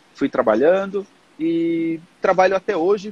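A man is heard with a dry, close sound that carries no echo. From Portugal. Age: 30s. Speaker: digital marketing specialist. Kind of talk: casual interview.

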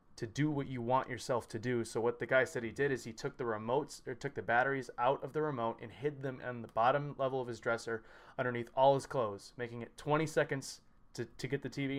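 This man has an unremarkable speaking voice and talks at a fairly quick pace. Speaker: podcast host and lifter. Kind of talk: casual interview. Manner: upbeat.

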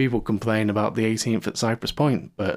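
With a British accent, a man talks at a moderate pace and a medium pitch, using ordinary pitch variation. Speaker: podcast host. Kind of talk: casual chat.

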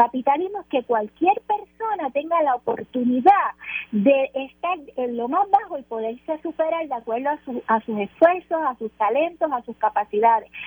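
A woman's high voice with very wide pitch swings at a moderate pace, dry and close with no echo, over noticeable background noise. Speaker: political commentator. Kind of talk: radio panel discussion.

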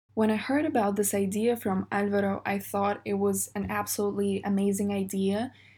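On a very clean recording with a silent background, a woman speaks at medium pitch in a dark, mellow, somewhat breathy tone, moving at a fairly quick pace with hardly any pauses and fairly even intonation. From Russia. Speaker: podcast host. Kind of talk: interview.

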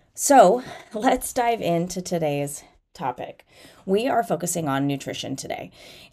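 A dark, mellow tone moves at a fairly slow pace with very wide pitch swings. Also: woman, medium pitch for a woman. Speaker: fitness coach and podcast host. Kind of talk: solo motivational podcast talk. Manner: casual, filler-heavy.

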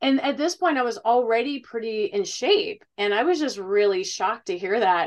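A woman speaks in a normal speaking voice at a fairly high pitch. She keeps a moderate pace with lively intonation and hardly any pauses. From Ohio. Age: 40s. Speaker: fitness coach and retired bodybuilder. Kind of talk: casual chat.

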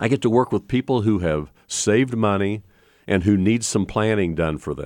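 A man's fairly low voice at a moderate pace, with a dry, close sound with no echo. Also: ordinary pitch variation, very clean recording, silent background. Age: 60s. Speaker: financial planner radio host. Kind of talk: radio talk show monologue. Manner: halting.

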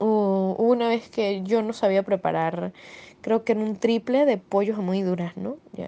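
A woman's dark, mellow tone at a medium pitch, with fairly even intonation and a fairly slow pace. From Venezuela. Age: 20s. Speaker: migrant, professional speed skater. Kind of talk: personal testimony interview.

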